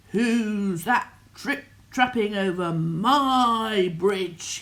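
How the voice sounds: The clip features a natural reading voice.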